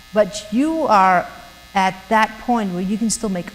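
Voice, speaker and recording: A woman with a German accent speaks at a fairly slow pace in a medium pitch, with noticeable background noise. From Germany. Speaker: missionary speaker. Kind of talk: talk to students. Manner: halting, many fillers and repeats.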